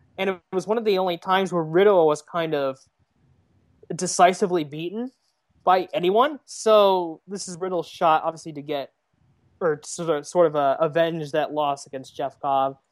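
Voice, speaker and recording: Against a quiet background, a woman talks at a moderate pace and fairly low pitch, with ordinary pitch variation and big swings in loudness. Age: 20s. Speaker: wrestling writer. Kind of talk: casual chat. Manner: halting.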